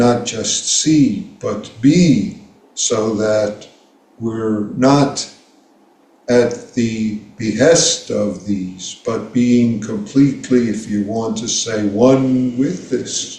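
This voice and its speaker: A man with an American accent speaks at a very slow pace, his medium-pitched voice somewhat breathy with a dark, mellow tone. His pitch varies in an ordinary way, and audible room echo surrounds the recording. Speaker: Zen teacher. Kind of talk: dharma talk.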